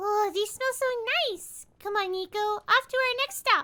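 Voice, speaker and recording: A put-on character voice, extremely high in pitch, cheerful and bubbly in tone, at a moderate pace. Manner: cheerful, bubbly.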